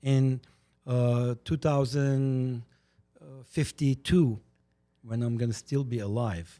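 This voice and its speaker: With an Armenian accent, a man speaks very slowly with long, frequent pauses, his medium-pitched voice dark and mellow in tone with ordinary pitch variation. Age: 60s. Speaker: podcast guest, community commentator. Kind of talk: casual chat. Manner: animated.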